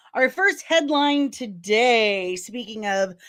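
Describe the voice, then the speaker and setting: In a Midwestern accent, a woman speaks very slowly with a bright, sharp tone and very wide pitch swings. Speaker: pop culture news youtuber. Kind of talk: casual commentary. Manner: animated.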